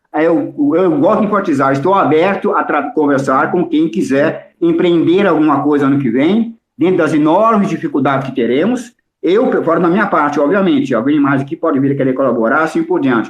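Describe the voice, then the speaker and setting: Fairly quick and very even in loudness, a man speaks at a fairly high pitch with lively intonation. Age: 60s. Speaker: political analyst. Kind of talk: heated debate; casual chat. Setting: audio chat room. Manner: animated.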